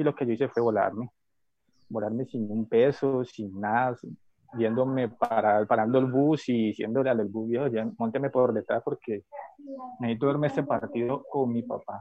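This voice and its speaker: A normal speaking voice from a man at medium pitch, moderate pace and fairly even intonation. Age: 30s. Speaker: football fan. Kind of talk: casual chat.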